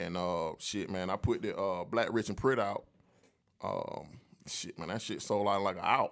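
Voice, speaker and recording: The recording is very clean, and the background is silent. A man talks at a moderate pace. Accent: American. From Atlanta, US South. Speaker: entertainment entrepreneur, clothing brand owner. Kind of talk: casual interview. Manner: laid back.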